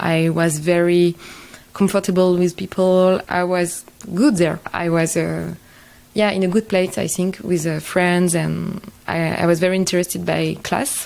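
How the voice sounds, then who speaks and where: A woman's fairly low, evenly intoned voice at a fairly slow pace, over noticeable background noise. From France. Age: 20s. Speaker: social entrepreneur. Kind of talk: podcast interview. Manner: halting.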